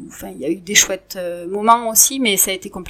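In an unremarkable speaking voice, a woman talks at a medium pitch with lively intonation. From southwest France, Montauban. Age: 40s. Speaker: partner of a rugby player. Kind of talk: interview. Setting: at home.

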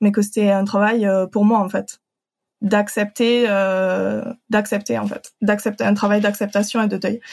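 A woman talks at a medium pitch and a moderate pace with a slight southern French accent. Her intonation stays fairly even. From southern France (Occitanie). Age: 30s. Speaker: translator. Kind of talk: personal testimony. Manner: hesitant, many fillers.

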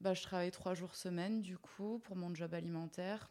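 Speaking at a very slow pace, a woman uses a fairly low pitch and a dark, mellow tone. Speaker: video artist. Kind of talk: casual interview.

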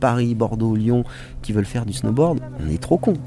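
Noticeable background noise sits behind a man speaking at a fairly quick pace. His pitch is medium, with ordinary variation. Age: 40s. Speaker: former ski racer and filmmaker. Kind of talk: casual interview. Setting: outdoors by a lake. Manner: animated.

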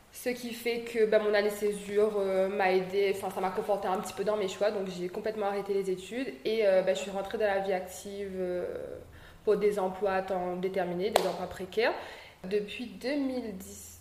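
A woman's medium-pitched, monotone voice at a fairly slow pace, with flat intonation, audible room echo and noticeable background noise. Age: 20s. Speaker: young entrepreneur. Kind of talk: interview. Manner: hesitant, many fillers.

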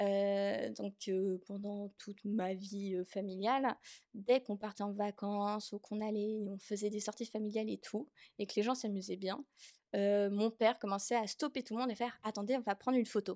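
A woman's dark, mellow voice at medium pitch and moderate pace, dry and close with no echo against a quiet background. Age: 20s. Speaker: artist. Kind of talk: testimony. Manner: halting.

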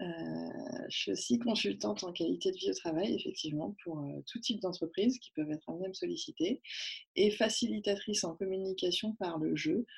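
A woman speaks at a moderate pace. Big swings in loudness run through her speech. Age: 30s. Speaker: workplace wellbeing consultant. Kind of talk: interview. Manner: hesitant, many fillers.

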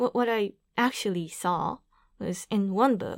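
With a Japanese accent, a woman speaks very slowly at a medium pitch, captured in a dry, close sound with no echo on a very clean recording with a silent background. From Japan, Aichi Prefecture. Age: 30s. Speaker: activist. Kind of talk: interview. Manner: halting.

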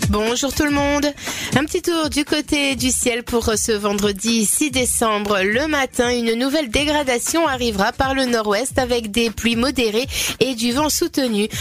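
Over background music, a woman speaks at a high pitch with very even loudness and ordinary pitch variation. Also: fairly slow pace. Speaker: weather presenter. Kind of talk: weather forecast reading.

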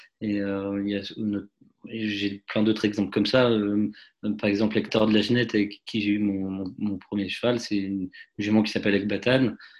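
A man talks at a moderate pace in a fairly low pitch. His intonation is monotone and flat against a quiet background. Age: 30s. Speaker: racehorse owner and dentist. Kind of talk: interview. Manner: halting, many repetitions and fillers.

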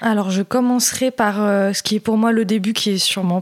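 On a very clean recording with a silent background and a dry, close sound with no echo, a woman of medium pitch speaks at a moderate pace in a monotone, flat way. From Paris region, France. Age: 20s. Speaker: eating disorder survivor. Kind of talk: testimony. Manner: halting.

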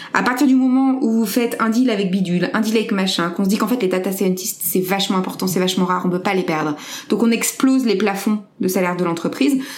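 A woman speaks very fast, her loudness very even and her pitch varying normally. Room echo is audible, and there is noticeable background noise. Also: medium pitch for a woman. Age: 30s. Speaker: entrepreneur. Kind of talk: interview.

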